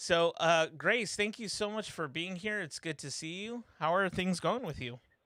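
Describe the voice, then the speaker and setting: A bright, sharp voice with a slight Californian accent, ordinary pitch variation, a moderate pace and hardly any pauses, on a very clean recording with a silent background. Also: man, high pitch for a man. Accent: slight California. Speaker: live stream host. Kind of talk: casual chat. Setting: live stream. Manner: hesitant, many fillers.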